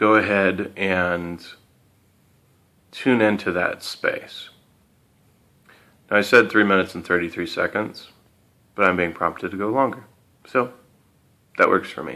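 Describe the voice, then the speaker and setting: With a bright, sharp tone, a man speaks at a fairly low pitch and ordinary pitch variation. His pace is fairly slow, with long, frequent pauses. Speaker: motivational speaker. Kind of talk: motivational talk with guided breathing. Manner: low and slow; hesitant, with fillers.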